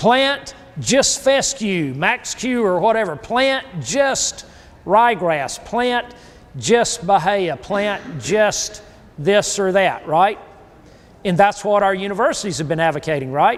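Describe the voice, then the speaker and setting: A high-pitched man with a South Carolina accent and lively intonation, talking at a very slow pace over noticeable background noise. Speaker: grazing and soil consultant. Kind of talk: workshop lecture.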